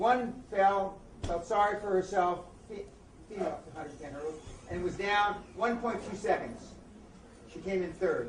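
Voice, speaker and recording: Moderate pacing broken by long, frequent pauses, in an American accent, over noticeable background noise. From US, East Los Angeles. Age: 60s. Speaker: motivational speaker and author. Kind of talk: interview.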